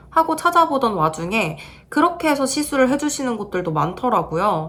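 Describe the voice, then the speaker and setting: Fairly quick and high-pitched, a woman's voice makes very wide pitch swings over noticeable background noise. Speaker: beauty vlogger. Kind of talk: video review vlog.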